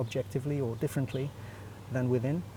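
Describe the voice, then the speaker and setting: A man's medium-pitched voice, somewhat breathy, with a dark, mellow tone and ordinary pitch variation. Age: 60s. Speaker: animation director and teacher, festival juror. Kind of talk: interview. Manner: halting, many fillers.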